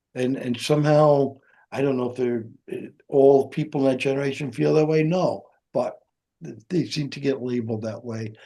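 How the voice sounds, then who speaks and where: A man talks at a moderate pace in a dark, mellow tone. His intonation stays fairly even. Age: 80s+. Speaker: veteran business and leadership advisor. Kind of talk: casual interview conversation. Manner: halting, many false starts.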